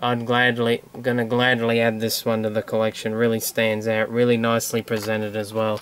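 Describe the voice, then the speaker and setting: With an Australian accent, a man talks at a fairly quick pace with hardly any pauses. His loudness stays very even and his intonation monotone and flat. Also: medium pitch for a man. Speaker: toy collector video host. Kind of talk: casual show-and-tell vlog.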